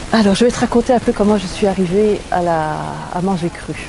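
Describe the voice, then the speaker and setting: A woman talks at a moderate speed, with noticeable noise in the background. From Belgium. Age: 60s. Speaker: testimony giver at a health retreat. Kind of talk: testimony. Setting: retreat venue in southern France.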